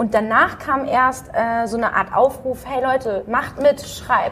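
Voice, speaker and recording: Noticeable background noise sits behind a woman's voice. She speaks at a fairly high pitch with ordinary pitch variation. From Dortmund area, Germany. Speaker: magazine founder, graphic designer. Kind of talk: interview, casual chat.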